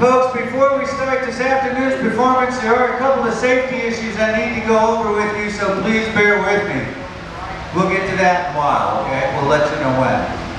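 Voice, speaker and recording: Through strong room echo and noticeable background noise, a man speaks at a fairly quick pace. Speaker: show announcer. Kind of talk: public safety announcement. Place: stage.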